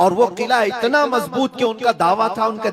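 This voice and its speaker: A man over noticeable background noise. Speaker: Islamic scholar giving a sermon. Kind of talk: religious sermon (bayan).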